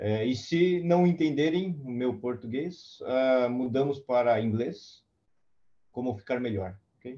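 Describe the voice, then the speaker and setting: Speaking very slowly, a man uses a dark, mellow tone at a medium pitch with ordinary pitch variation. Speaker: applications engineer. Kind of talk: technical lecture. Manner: slow, deliberate; halting, many fillers.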